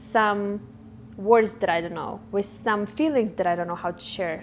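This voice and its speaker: A non-native accent with ordinary pitch variation. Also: woman. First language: not English. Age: 20s. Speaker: vlogger. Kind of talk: personal monologue. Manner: halting, self-correcting.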